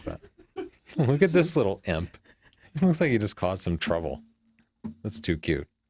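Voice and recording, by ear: Putting on a character voice, a man sounds hoarse and fairly low-pitched, with very wide pitch swings, a moderate pace and long, frequent pauses.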